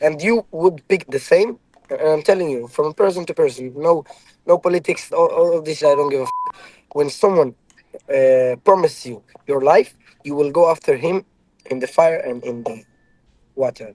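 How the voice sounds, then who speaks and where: With an Israeli accent and a fairly high pitch, a man speaks with long, frequent pauses in a dry, close recording with no echo. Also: ordinary pitch variation, moderate pace. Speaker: ex-soldier. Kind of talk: heated debate. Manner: halting.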